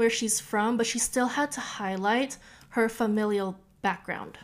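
In a Californian accent, a woman speaks at a fairly high pitch. She goes at a fairly slow pace with ordinary pitch variation. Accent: Californian American English. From Southern California, Orange County. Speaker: podcast host. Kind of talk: casual solo podcast monologue. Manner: chatty, animated.

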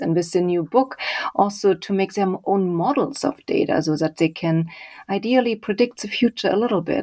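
A woman speaks at a moderate pace with a German accent. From Germany, Leipzig. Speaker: author and data visualization researcher. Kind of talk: interview.

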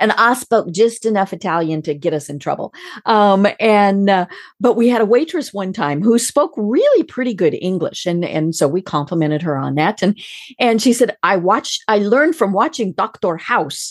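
A woman at a medium pitch with an American accent, lively intonation and a moderate pace. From Colorado, US. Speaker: business podcast host. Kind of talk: interview conversation.

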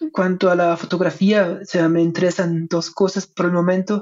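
The speaker has a German accent and talks at a fairly slow pace. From Germany. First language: German (speaking Spanish). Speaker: history professor. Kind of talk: interview. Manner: hesitant, many fillers.

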